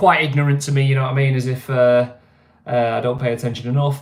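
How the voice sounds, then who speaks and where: A man talks with a fairly high pitch. His voice is somewhat breathy. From northern England, Greater Manchester. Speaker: livestream host. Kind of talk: casual livestream chat. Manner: casual, hesitant with many fillers.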